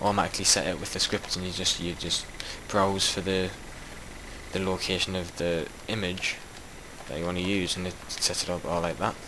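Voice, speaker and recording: A man with a strong Geordie accent speaks at a fairly quick pace, in a very deep, low pitch with monotone, flat intonation and long, frequent pauses. Audible room echo and noticeable background noise are present. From Newcastle, northern England. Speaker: gaming YouTuber and map maker. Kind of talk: casual gameplay commentary. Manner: casual, hesitant with fillers.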